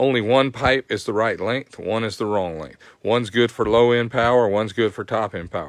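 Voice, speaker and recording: This voice in a Southern US accent runs at a fairly quick pace with hardly any pauses and ordinary pitch variation. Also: man, medium pitch for a man. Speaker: motorcycle performance tech host. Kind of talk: live stream tech tutorial. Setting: live stream.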